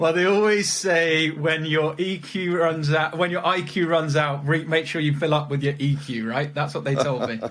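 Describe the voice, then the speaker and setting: Speaking with a British accent and hardly any pauses, a man with a fairly high pitch is heard over noticeable background noise and audible room echo. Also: moderate pace. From England, Leicestershire. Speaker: legal recruiter. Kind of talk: interview. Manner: repeats words, halting.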